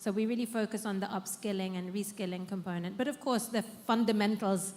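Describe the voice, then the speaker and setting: A woman speaks at medium pitch, somewhat breathy. Her intonation is monotone and flat. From United Kingdom. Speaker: social enterprise founder. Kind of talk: panel discussion.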